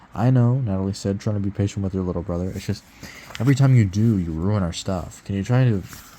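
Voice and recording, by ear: Someone reads aloud in a natural voice. Their pitch moves in an ordinary way.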